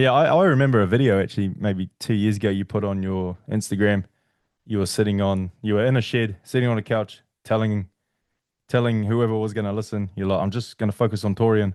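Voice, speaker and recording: A man with a New Zealand accent speaks at a fairly quick pace. His pitch is fairly low and his intonation fairly even. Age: 30s. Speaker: podcast host. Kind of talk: casual chat.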